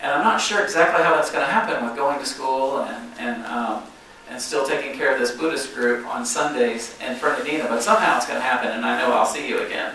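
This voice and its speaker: A man with a strong Southern US accent, amid noticeable background noise and audible room echo. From US South, South Georgia. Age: 60s. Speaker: guest speaker at a congregation. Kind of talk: sermon. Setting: church. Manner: hesitant.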